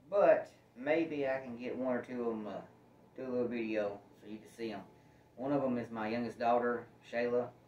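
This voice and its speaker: There is light background noise and audible room echo as a man speaks at a moderate pace. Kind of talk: casual vlog chat. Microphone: camera far.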